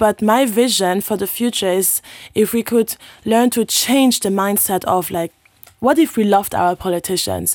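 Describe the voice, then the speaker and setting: A woman at a medium pitch and moderate pace with ordinary pitch variation, in a very clean recording with a silent background and a dry, close sound with no echo. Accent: non-native. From Luxembourg. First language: not English. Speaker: local councillor and youth activist. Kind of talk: conversational interview. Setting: studio. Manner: animated.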